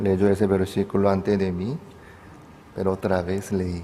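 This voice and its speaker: Speaking with a non-native accent, a man keeps a moderate pace and a monotone, flat intonation. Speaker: pastor. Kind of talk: sermon.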